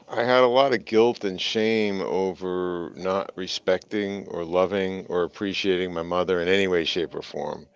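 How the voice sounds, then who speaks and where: Intonation stays fairly even, with hardly any pauses. Noticeable background noise runs underneath. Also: man, very deep, low pitch for a man, moderate pace. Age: 60s. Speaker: business executive and coach. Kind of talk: interview testimony.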